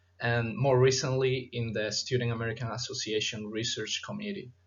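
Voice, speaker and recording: A man is speaking. His voice sounds somewhat breathy. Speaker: chiropractic student presenter. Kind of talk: conference presentation. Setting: virtual conference. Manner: formal.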